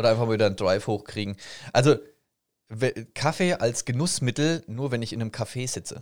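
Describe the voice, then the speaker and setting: On a very clean recording with a silent background, a man speaks very fast at a medium pitch with ordinary pitch variation and long, frequent pauses. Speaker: podcast co-host and streamer. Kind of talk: casual chat.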